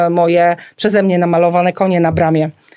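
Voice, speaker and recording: Clear background noise is present throughout. The words come at a fairly brisk rate. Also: woman. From rural Poland. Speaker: florist. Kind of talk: casual interview. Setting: studio.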